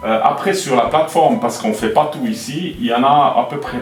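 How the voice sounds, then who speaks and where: Music plays in the background while a man with a fairly high pitch speaks at a moderate pace. His pitch swings very widely, and audible room echo surrounds his voice. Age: 60s. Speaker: airport director. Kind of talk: interview answering children's questions. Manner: hesitant, with fillers and repetitions.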